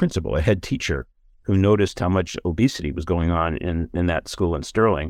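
In a very deep, low voice, a man with an American accent talks at a fairly quick pace against a quiet background. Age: 70s.

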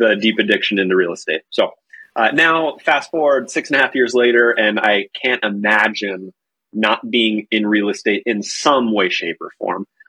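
An unremarkable speaking voice from a man with an American accent, fairly low in pitch with ordinary variation, at a fairly slow pace. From North Carolina. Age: 30s. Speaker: real estate agent and team leader. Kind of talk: casual interview.

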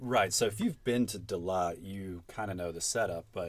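Here is a man with a Southern US accent. His pitch varies in an ordinary way. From Atlanta, Georgia. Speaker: guest. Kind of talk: casual chat. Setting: closet studio.

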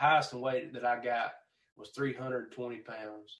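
In a Southern US accent, a man speaks at medium pitch with monotone, flat intonation. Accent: Southern US (Georgia). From Georgia, US South. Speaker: country singer-songwriter. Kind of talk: casual interview chat.

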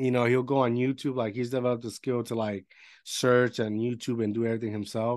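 A man with a Spanish accent rattles along at a very fast pace in a medium pitch and flat monotone. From Puerto Rico. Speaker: podcast host. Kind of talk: casual interview. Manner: halting.

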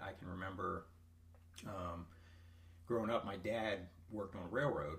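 Over noticeable background noise and audible room echo, a man speaks at a moderate pace in a fairly low pitch with fairly even intonation. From eastern Ohio, US. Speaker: gym member. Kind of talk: casual chat. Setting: in person, over coffee.

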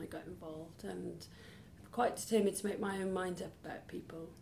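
In a South Wales accent, a woman talks at a fairly quick pace in a fairly low pitch with ordinary variation, amid audible room echo and noticeable background noise. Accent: Welsh (south Wales). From Wales, near Cardiff. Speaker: charity chief executive. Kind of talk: interview.

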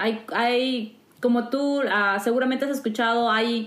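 A woman talks at a fairly high pitch with fairly even intonation. Noticeable background noise is present. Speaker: podcast host. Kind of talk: casual interview. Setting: living in the US.

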